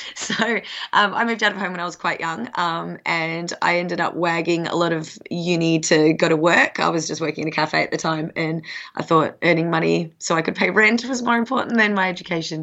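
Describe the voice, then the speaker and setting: A woman's fairly low voice with an Australian accent, at a fairly quick pace with ordinary pitch variation. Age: 30s. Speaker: professional pole dancer and coach. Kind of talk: casual interview.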